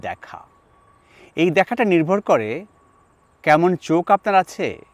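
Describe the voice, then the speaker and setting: A man is heard with a dry, close sound with no echo. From Bangladesh, Chittagong. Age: 60s. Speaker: linguist and professor. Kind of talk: personal monologue to camera.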